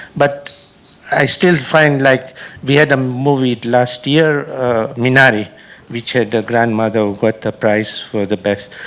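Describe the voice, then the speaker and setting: Noticeable background noise behind a man at a medium pitch, fairly slow, with ordinary pitch variation. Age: 70s. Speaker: audience member, film festival founder. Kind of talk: audience question.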